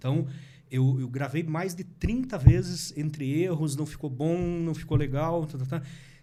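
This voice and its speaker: With a dark, mellow tone and fairly high pitch, a man speaks at a fairly slow pace, his loudness swinging widely in a room with audible echo. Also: ordinary pitch variation. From Paraná, Brazil (interior and Curitiba). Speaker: politician and digital marketing content creator. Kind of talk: podcast interview.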